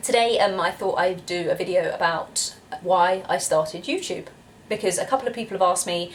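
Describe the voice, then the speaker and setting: Over noticeable background noise, a woman with a British accent speaks at a moderate pace in a medium pitch, with ordinary pitch variation. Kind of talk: casual talk to camera.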